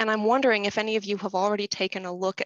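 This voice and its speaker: A woman speaks with fairly even intonation against a quiet background, the sound dry with no echo. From United States. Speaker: inclusive design researcher. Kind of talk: webinar presentation. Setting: video call. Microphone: webcam.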